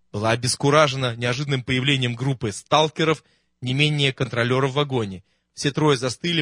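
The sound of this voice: The background is quiet. What comes through is an unforced reading voice.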